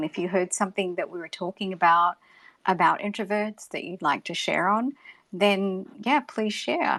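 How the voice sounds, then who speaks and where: A woman speaks with an Australian accent, and her loudness swings widely. The recording is very clean and silent behind her, with a dry, close sound and no echo. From Australia, Gold Coast. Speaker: podcast host. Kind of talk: live audio room moderation.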